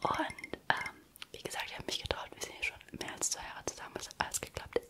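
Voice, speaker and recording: A woman is whispering. She goes at a fairly quick pace. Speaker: ASMR creator. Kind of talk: casual ASMR chat about relationships. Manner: whispered. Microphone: studio mic.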